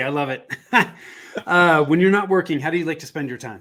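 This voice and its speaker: A fairly quick pace from a man with a fairly high-pitched voice. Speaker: podcast host. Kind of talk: interview podcast. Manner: halting, many fillers.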